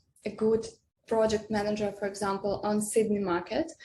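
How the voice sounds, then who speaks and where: A woman with a non-native accent at a moderate pace, somewhat breathy, with fairly even intonation. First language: not English. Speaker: software developer. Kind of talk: interview. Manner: halting, many hesitations.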